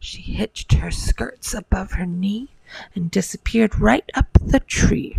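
The text is read aloud in a natural voice.

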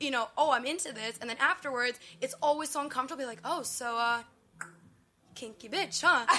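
A woman with a high pitch and a bright, sharp tone speaks at a fairly quick pace in a raised, projected voice, with ordinary pitch variation. Her loudness swings widely, and she leaves long, frequent pauses. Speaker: vendor at a sex toy booth. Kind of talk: casual interview chat.

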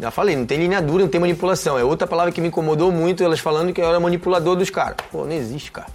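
A man with a high pitch and fairly even intonation at a very fast pace, hardly pausing, amid noticeable background noise. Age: 30s. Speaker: reality show contestant, former footballer. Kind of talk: interview. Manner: halting.

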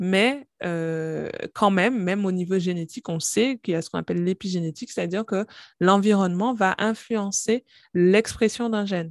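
A woman has an ordinary speaking voice at a medium pitch, with ordinary pitch variation and a moderate pace. The very clean recording has a silent background and a dry, close sound with no echo. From Guadeloupe. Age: 30s. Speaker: pharmacist and company founder. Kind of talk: interview, testimony and health explanation.

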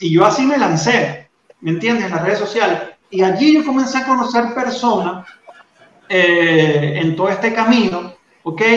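This man talks at a moderate pace with a high pitch and lively intonation. There is audible room echo. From Venezuela. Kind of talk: faith testimony in interview.

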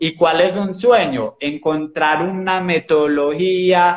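High-pitched for a man, this male voice shows ordinary pitch variation. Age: 20s. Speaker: digital marketing entrepreneur. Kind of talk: casual chat. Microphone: old phone camera, poor resolution.

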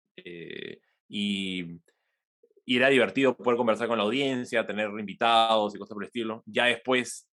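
A man with an unremarkable speaking voice talks at a moderate pace, with a medium pitch and fairly even intonation. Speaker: innovation executive and podcaster. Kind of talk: interview.

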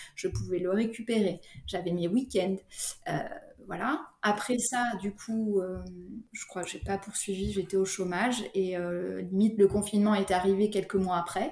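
A woman's somewhat breathy voice at medium pitch, dark and mellow in tone, with fairly even intonation and a fairly slow pace. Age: 30s. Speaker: sophrologist, single mother. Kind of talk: casual interview.

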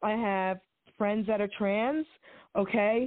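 A woman with a plain, everyday voice talks at a fairly high pitch and moderate pace, her intonation fairly even. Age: 60s. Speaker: caller. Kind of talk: casual chat. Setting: phone call. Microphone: static on the line.

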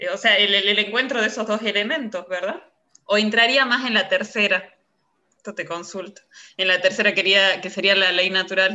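Here a woman talks at a moderate pace. Her pitch is medium with ordinary variation. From Salta, northwestern Argentina. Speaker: poetry student. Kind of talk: casual chat. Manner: hesitant, many fillers.

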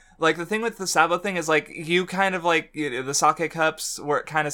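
This man's voice is fairly high in pitch, with a bright, sharp tone. His intonation stays fairly even. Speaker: podcast host. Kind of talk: casual chat. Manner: laughs often.

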